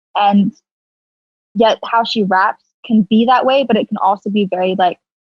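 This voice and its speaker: A somewhat breathy woman at a moderate pace, fairly high in pitch, with fairly even intonation. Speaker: rapper. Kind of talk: casual chat. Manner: casual, many fillers.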